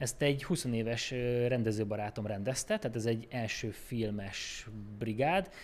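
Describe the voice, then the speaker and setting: A plain, everyday voice belongs to this man, who speaks at medium pitch and a fairly slow pace with ordinary pitch variation. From Békés County, Hungary. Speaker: film editor. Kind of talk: casual chat.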